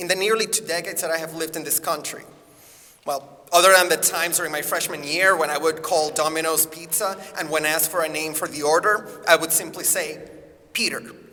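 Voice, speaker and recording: A man talks at a very fast pace in a high pitch. Noticeable background noise runs underneath. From Puerto Rico. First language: Spanish. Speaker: acting teacher. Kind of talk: personal essay read aloud to students.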